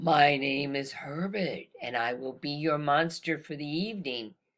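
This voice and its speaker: This is a put-on character voice at a low-to-middle pitch. The pace is moderate. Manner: polite, formal.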